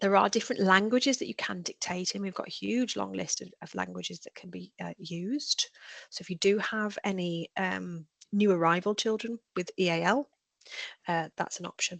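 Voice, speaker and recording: A woman in a Birmingham accent at a moderate pace, big swings in loudness, the sound dry and close with no echo. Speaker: edtech trainer, former teacher. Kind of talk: webinar tutorial. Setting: online webinar.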